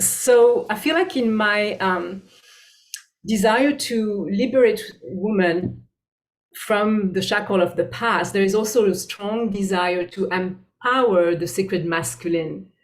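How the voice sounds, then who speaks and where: Speaking with a French accent, a woman keeps to a very slow pace. Her pitch is medium, with ordinary variation. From France. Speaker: bodyworker and spiritual teacher. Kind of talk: interview. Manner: halting.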